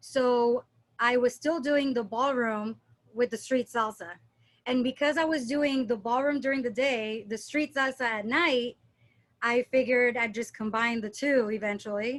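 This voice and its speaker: A woman talks at a high pitch with fairly even intonation. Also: moderate pace. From Puerto Rico and Dominican Republic, born in Philadelphia. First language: Spanish. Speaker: dance instructor. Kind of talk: casual chat. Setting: podcast interview.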